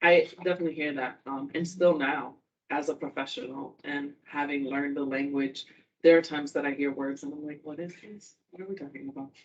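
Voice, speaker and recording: With a Spanish accent, a woman speaks at a fairly quick pace in a very deep, low pitch, her intonation fairly even and her loudness swinging widely. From Puerto Rico. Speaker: university student-athlete advisor. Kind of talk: informal talk to students.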